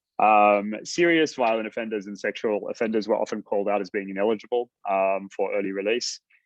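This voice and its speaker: Speaking at a fairly quick pace with hardly any pauses, a man talks in a fairly low pitch with ordinary pitch variation. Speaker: researcher presenting a report. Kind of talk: webinar presentation. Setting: online webinar. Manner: fast; hesitant, many fillers.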